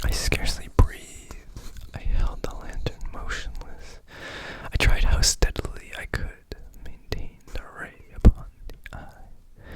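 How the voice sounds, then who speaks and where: A whisper at a fairly slow pace, broken by long, frequent pauses, over noticeable background noise. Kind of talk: whispered ASMR story reading. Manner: whispered, soft-spoken.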